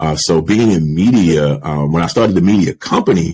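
The man's voice sits at a very deep, low pitch. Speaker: podcast guest. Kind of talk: interview answer. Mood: relaxed, reflective, occasional laughs. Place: home room. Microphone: studio mic.

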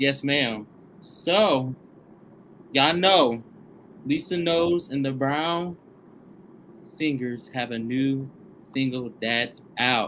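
A man with a Southern US accent speaks very slowly in a fairly high pitch with ordinary pitch variation and long, frequent pauses. Light background noise runs underneath. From Tennessee, US South. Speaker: online show host. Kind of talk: interview. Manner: animated. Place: studio.

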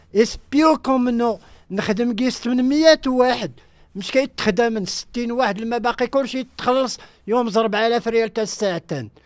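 A man speaks at a fairly slow pace with an extremely high pitch, ordinary pitch variation, a dry sound with no echo, and a quiet background. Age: 60s. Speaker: film extra, former soldier; radio guest. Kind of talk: radio interview. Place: studio.

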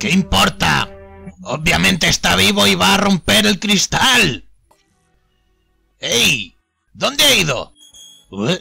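Over faint music in the background, a man uses a put-on character voice that is raspy and fairly high in pitch. He speaks at a fairly slow pace. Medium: dub. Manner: blustering, excitable.

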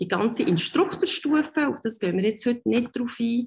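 Against a quiet background, a woman's somewhat breathy voice moves at a fairly slow pace with lively intonation. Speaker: dive instructor. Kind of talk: online presentation. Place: home room. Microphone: webcam.

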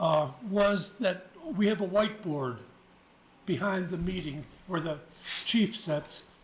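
Long, frequent pauses break up very slow speech with ordinary pitch variation, against noticeable background noise. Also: man, high pitch for a man. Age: 70s. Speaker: volunteer firefighter speaking at public comment. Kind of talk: public comment at county meeting. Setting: county commission meeting. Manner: halting.

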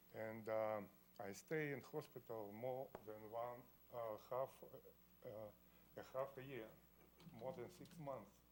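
With a Russian accent, a man at medium pitch talks very slowly with ordinary pitch variation and long, frequent pauses. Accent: Russian, says his English is poor. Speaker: variance applicant. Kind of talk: testimony. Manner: halting.

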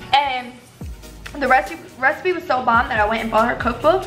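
Faint music plays behind a woman whose high voice shows ordinary pitch variation. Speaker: cooking vlogger. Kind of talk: casual vlog chat. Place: kitchen. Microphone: phone near.

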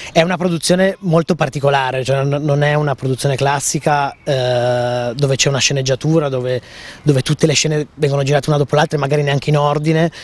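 Delivered at a very fast pace, the speech has fairly even intonation, very even loudness and a dry sound with no echo. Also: man, fairly high pitch for a man. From Piedmont, Italy. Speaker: film director. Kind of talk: interview. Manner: halting. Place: garden. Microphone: handheld.

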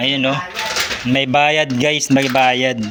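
Over noticeable background noise, a man speaks fairly slowly at a medium pitch. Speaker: vlogger, overseas worker in Saudi Arabia on vacation. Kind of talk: casual video tour. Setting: at home.

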